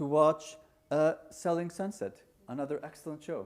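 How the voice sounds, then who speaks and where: A man with an Icelandic accent speaks at a moderate pace and a fairly high pitch, recorded very cleanly against a silent background. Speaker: conference speaker, market research tech entrepreneur. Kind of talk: conference talk. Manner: casual, hesitant with fillers.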